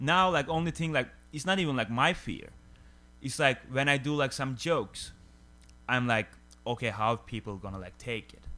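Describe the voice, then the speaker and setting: Bright and sharp in tone, this voice carries a Turkish accent at a moderate pace. Long pauses come often. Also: man, medium pitch for a man, lively intonation. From Turkey. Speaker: stand-up comedian. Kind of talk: casual chat. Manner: halting, heavy filler words.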